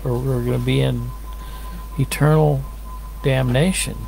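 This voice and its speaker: Audible room echo and noticeable background noise surround a man speaking in an American accent. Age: 60s. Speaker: lay preacher. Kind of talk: casual sermon-style talk to camera. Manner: conversational, meandering.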